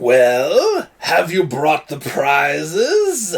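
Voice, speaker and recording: A man talks in a put-on character voice, pitched fairly high. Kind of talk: showman announcer. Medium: actual play. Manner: theatrical, commanding.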